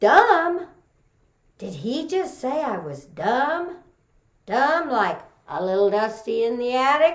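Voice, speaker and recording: With a Texas accent, a woman speaks at a very slow pace. Her pitch swings very widely. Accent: Texas twang. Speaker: storyteller. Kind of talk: folksy Southern vernacular.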